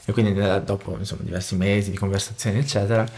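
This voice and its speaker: A man with a Portuguese accent speaks very fast in a fairly low pitch. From Brazil. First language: Portuguese (speaking Italian). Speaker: musician and music producer; interview guest, music teacher. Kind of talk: interview conversation. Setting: home studio. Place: studio. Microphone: studio mic.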